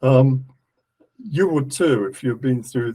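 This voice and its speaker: The speaker has an English accent and a somewhat breathy voice. The pace is fairly slow, with ordinary pitch variation. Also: man. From England. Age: 70s. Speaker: esoteric lecturer. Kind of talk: lecture. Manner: halting.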